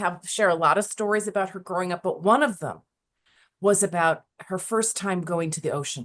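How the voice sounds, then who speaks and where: A woman talks at a moderate speed. Behind her, things are quiet. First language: not Spanish; Spanish is second language. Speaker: podcast host. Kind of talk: interview. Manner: hesitant, many fillers.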